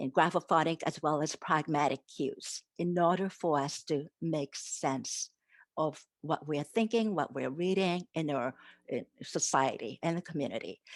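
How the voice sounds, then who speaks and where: Against a quiet background, a woman with a very deep, low pitch speaks fairly slowly with ordinary pitch variation, the sound dry and close with no echo. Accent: Japanese. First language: Japanese. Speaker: literacy education professor. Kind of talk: academic conference presentation.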